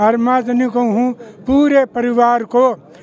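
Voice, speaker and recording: A man pitches his voice extremely high while noticeable background noise goes on. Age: 80s+. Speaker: village elder. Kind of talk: street interview.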